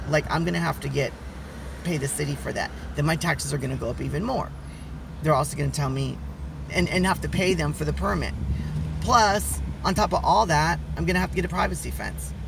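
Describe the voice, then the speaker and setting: Very fast delivery in a dry, echo-free sound, with noticeable background noise. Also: man. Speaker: vlogger. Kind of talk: casual vlog chat. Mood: complaining, frustrated about money. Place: car. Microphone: phone near.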